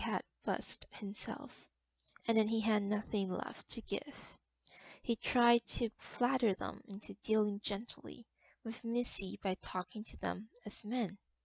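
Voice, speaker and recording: A woman with a non-native accent and a fairly high pitch speaks somewhat breathily at a fairly slow pace, her intonation fairly even and the sound dry and close with no echo. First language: non-native English speaker. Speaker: literature enthusiast reading stories. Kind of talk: short story reading.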